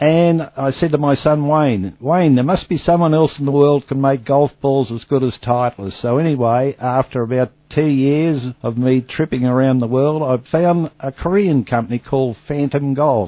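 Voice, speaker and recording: This man speaks with an Australian accent, his pitch fairly high with ordinary variation. He keeps a moderate pace with hardly any pauses. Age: 60s. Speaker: retired golf equipment businessman. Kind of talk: interview. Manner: casual, chatty.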